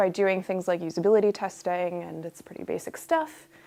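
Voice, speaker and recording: With an American accent, the woman rattles off her words very fast. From United States. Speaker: UX researcher. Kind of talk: workshop talk. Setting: room with live audience. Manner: casual.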